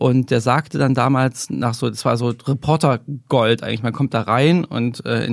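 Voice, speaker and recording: In a very clean recording with a silent background and a dry, close sound with no echo, a man speaks with vocal fry and fairly even intonation. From eastern Germany (GDR), Weimar. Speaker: investigative journalist. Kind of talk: interview conversation. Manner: frequent filler hesitations.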